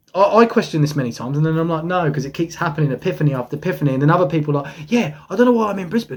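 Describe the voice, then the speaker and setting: Amid noticeable background noise, a man talks at a very fast pace in an animated tone with lively intonation. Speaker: spiritual channeler. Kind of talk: monologue.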